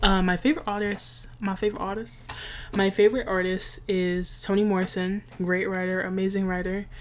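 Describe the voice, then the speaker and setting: A woman with an American accent at a moderate pace, medium pitch and fairly even intonation. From New York City. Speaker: podcast host. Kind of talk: personal monologue. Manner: casual.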